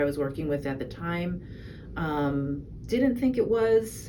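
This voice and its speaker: The room echoes audibly around a woman's speaking voice. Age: 60s. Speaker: patient giving testimonial. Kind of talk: testimony. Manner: halting, many fillers.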